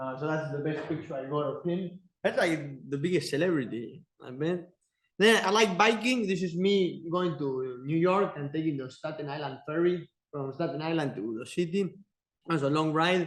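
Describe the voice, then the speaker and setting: A man with an Argentine accent speaks at a moderate pace. His pitch is fairly high, with ordinary pitch variation. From Argentina. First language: Spanish. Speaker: teaching assistant giving guest lecture. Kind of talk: lecture. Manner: halting.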